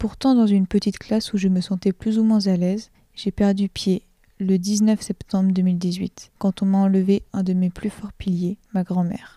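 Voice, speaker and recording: A woman's dark, mellow, somewhat breathy voice of medium pitch moves at a fairly slow pace in a flat monotone, dry and close with no echo, on a very clean recording with a silent background. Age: 20s. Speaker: nursing student. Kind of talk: testimony. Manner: reading aloud a written text.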